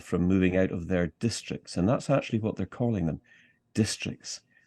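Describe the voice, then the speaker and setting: Against a quiet background, a man with a Scottish accent speaks in a very deep, low voice of dark, mellow tone, with ordinary pitch variation and a dry, close sound with no echo. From Scottish Highlands. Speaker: political activist. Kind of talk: interview.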